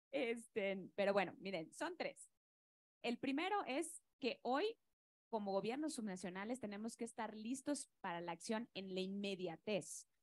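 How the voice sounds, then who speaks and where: Lively in intonation, a woman with a Yucatecan accent speaks at a fairly high pitch and fairly slow pace, the sound dry and close with no echo. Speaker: state environment secretary. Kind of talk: panel discussion.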